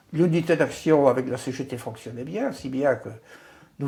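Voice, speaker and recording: The speaker is a man with a fairly high, somewhat breathy voice. He talks at a fairly slow pace with ordinary pitch variation. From Brittany, Côtes-d'Armor. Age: 80s+. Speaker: retired trade unionist. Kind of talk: oral history interview. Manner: hesitant, repeats words.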